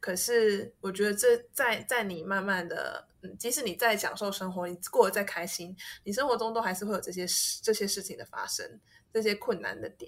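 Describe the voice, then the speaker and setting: A woman's medium-pitched, ordinary speaking voice at a fairly quick pace, very clean recording with a silent background. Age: 30s. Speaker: host's university friend. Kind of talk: casual chat.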